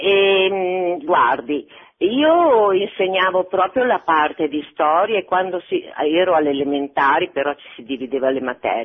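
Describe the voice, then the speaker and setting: Her pitch medium but swinging very widely, a woman speaks at a fairly slow pace with big swings in loudness. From Bologna, Italy. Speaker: retired teacher. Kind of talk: phone-in comment. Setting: phone call.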